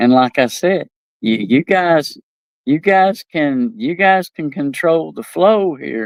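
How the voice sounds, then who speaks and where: In an East Tennessee accent, a man speaks at a very slow pace on a very clean recording with a silent background. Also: dry, close sound with no echo. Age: old. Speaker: talk show host. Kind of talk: casual monologue. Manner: halting, many repetitions.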